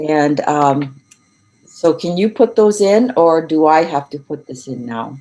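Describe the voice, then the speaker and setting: With music in the background, a woman speaks very slowly at a fairly low pitch, her intonation lively. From Europe. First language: not English. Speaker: education researcher and learning consultant. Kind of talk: online lecture. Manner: deliberately slowed.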